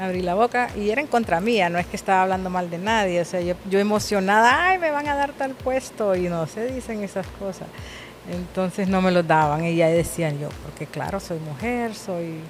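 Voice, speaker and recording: Music plays in the background as a woman speaks at a moderate pace. She has a medium pitch and lively intonation. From Honduras. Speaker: businesswoman and communications professional. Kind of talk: interview.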